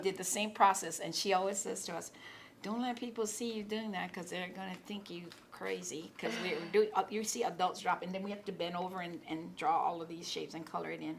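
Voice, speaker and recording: Over noticeable background noise, a woman with a Hawaiian accent talks at a very fast pace and medium pitch, with ordinary pitch variation. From Hawaii, Kāne‘ohe. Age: old. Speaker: college student and artist. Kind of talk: interview answer.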